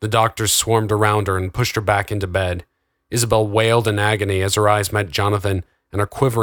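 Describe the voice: Someone reads aloud plainly, and the background stays quiet.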